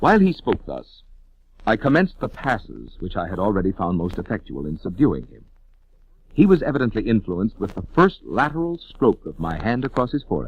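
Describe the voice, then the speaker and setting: Speaking at a fairly quick pace with vocal fry, a man of medium pitch swings very widely in pitch and heavily in loudness. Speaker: voice actor. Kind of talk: horror story narration. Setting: old vinyl record transfer, scratches and pops.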